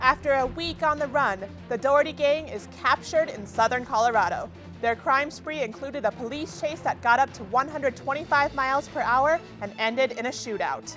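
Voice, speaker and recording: Music plays in the background as a woman with high pitch speaks at a fairly quick pace with ordinary pitch variation. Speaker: news anchor. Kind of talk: TV news anchor read.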